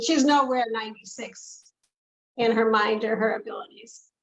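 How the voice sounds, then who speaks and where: A woman speaks in a plain, everyday voice, fairly high-pitched and at a moderate pace. Her intonation stays fairly even. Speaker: daughter of the client. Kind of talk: interview answer.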